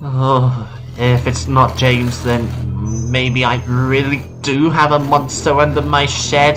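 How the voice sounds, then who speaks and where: Doing a put-on character voice at a medium pitch, a man talks at a fairly slow pace over clear background music. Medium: read story.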